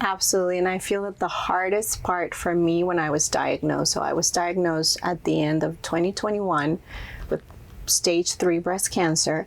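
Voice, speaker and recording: Speaking in a Spanish accent, a woman keeps a monotone, flat intonation, very even loudness and a fairly low pitch at a moderate pace. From Mexico, Monterrey. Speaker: entrepreneur and influencer. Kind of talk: interview.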